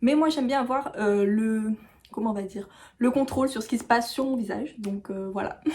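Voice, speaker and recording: Her tone is dark and mellow, and somewhat breathy. This woman's pitch varies in an ordinary way. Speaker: beauty YouTuber. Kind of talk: tutorial. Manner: hesitant, many fillers.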